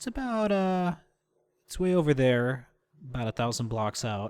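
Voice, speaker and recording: On a very clean recording with a silent background, a man talks with very wide pitch swings. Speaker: gaming video creator. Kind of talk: gameplay commentary. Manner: halting; animated.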